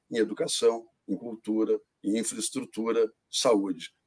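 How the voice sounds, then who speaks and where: The recording of this man's voice has a dry, close sound with no echo. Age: 60s. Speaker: industry association president. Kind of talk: panel discussion.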